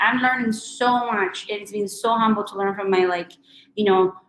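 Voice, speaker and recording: A woman talks at a fairly quick pace with a strong Chilean accent. Her pitch is fairly high. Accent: thick Chilean Spanish. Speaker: recruiter and career speaker. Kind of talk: webinar talk and Q&A.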